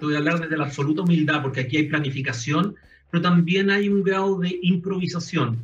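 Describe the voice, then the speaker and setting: This man has a Chilean accent and a fairly high pitch. He talks at a fairly quick pace with ordinary pitch variation. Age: 50s. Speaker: retail executive. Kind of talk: panel interview.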